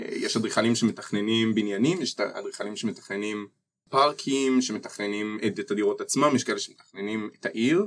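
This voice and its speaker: At a moderate pace, an ordinary speaking voice comes through with ordinary pitch variation. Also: man, medium pitch for a man. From Israel, Ness Ziona. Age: 20s. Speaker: architecture student. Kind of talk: interview.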